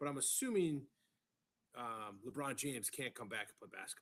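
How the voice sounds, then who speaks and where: Quiet speech at a very fast pace, with ordinary pitch variation. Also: man. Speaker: podcast co-host. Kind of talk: casual chat.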